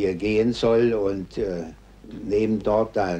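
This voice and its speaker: A dark, mellow tone with ordinary pitch variation. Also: man. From Germany. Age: 60s. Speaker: war veteran. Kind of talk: interview answer.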